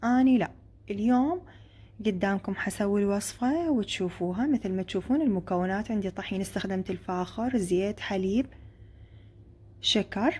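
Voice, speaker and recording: Against a silent background in a very clean recording, a woman with an Iraqi accent speaks at a fairly slow pace and medium pitch, somewhat breathy. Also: ordinary pitch variation. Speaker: cooking video creator. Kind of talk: cooking tutorial.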